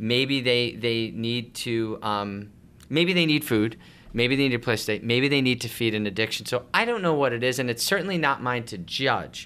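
Bright and sharp in tone, a man with an American accent speaks at a moderate pace and medium pitch with ordinary pitch variation. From Long Island, New York. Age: 40s. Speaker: homeless shelter director. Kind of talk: interview.

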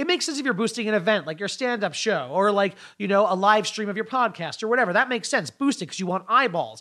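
A man's raised, projected voice, high-pitched, bright and sharp, with lively intonation, a very fast pace and hardly any pauses, on a very clean recording with a silent background. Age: 30s. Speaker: comedian. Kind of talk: casual chat.

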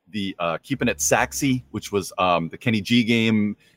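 In a normal speaking voice, a man talks at medium pitch with ordinary pitch variation, the sound dry and close with no echo. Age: middle-aged. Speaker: board game reviewer. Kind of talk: casual chat.

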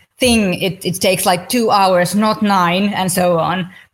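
A woman's somewhat breathy voice at medium pitch, fairly even in intonation and moderate in pace, on a very clean recording with a silent background. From Finland. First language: Finnish. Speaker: podcast host. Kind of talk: interview.

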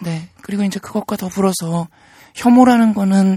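A woman speaks at a fairly quick pace in a medium pitch, her dark, mellow tone somewhat breathy and her intonation fairly even. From Seoul, South Korea. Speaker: transgender rights activist and writer. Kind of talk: interview.

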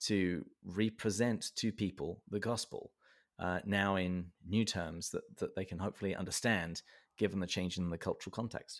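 In a very clean recording with a silent background, a man with a southern English accent speaks at a moderate pace in a fairly low voice. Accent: southern English, noticeable. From south of England, Berkshire. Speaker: podcast host. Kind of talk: casual interview conversation. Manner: humorous, self-deprecating.

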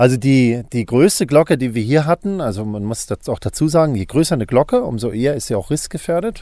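At a fairly quick pace, a man speaks in a dark, mellow tone with lively intonation. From northern Germany, island of Rügen (former East Germany). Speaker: bell researcher and theologian. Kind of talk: interview. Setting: soundproof bell laboratory.

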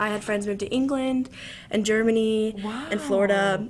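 With an American accent, a woman talks at a fairly high pitch. Her intonation is fairly even, and there is noticeable background noise. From Southern Illinois. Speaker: university student. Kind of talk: casual interview.

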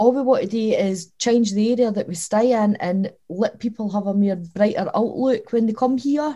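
In a southern Scottish accent, the voice is dark, mellow and somewhat breathy, fairly slow, with ordinary pitch variation. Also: woman. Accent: southern Scottish (Dumfries). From Scotland, Dumfries (Lockside). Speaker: community organisation director. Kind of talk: casual interview.

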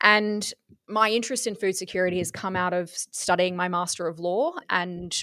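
A woman speaks with an Australian accent at a medium pitch and a moderate pace. Her intonation is fairly even, and the recording is very clean with a silent background. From southeast Queensland, Australia. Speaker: farmer and agriculture network chair. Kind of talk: interview.

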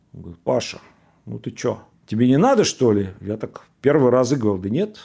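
Speaking at a fairly quick pace, a man with a medium pitch and ordinary pitch variation uses a dark, mellow tone, his loudness swinging widely. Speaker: former soldier and engineer telling life story. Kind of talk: personal storytelling.

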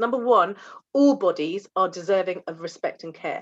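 Against a quiet background, a woman with a British accent speaks at a medium pitch with ordinary pitch variation. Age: 40s. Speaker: general practitioner doctor. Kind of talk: interview conversation.

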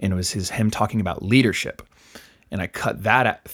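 In a plain, everyday voice, a man speaks at a fairly quick pace and fairly low pitch on a very clean recording with a silent background. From US East Coast, moved around (Louisiana, Virginia). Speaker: DJ. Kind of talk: casual interview chat. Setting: studio.

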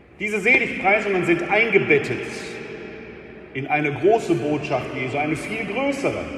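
Over noticeable background noise, a man with a high pitch raises and projects his voice, moving at a moderate pace with long, frequent pauses and very wide pitch swings. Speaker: preacher. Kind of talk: sermon in church. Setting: church. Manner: formal yet conversational, with rhetorical questions and wry humor.

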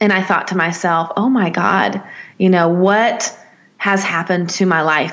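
A woman with a Southern US accent speaks at medium pitch and a fairly slow pace, with fairly even intonation and noticeable background noise. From US South, Nashville, Tennessee. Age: 30s. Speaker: life coach. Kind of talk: interview.

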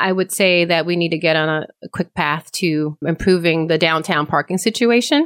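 A woman's fairly low voice with an American accent, a normal speaking voice at a moderate pace, with ordinary pitch variation, very even loudness, hardly any pauses and a dry, close sound with no echo. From Eastern North Carolina (early childhood in Connecticut). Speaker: town council member and policy advocate. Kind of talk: interview. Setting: studio.

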